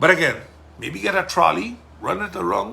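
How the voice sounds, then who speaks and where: A man with a Sint Maarten accent talks at a moderate pace. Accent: Sint Maarten Caribbean English. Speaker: politician and podcast host. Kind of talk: casual monologue podcast. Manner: loud; forceful.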